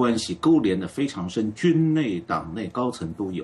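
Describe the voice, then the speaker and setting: A man speaks at a moderate pace with a medium pitch. His voice makes very wide pitch swings. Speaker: political commentator. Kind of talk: live panel discussion.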